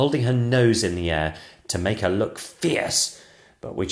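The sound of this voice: The clip features an unforced reading voice. It is heard throughout.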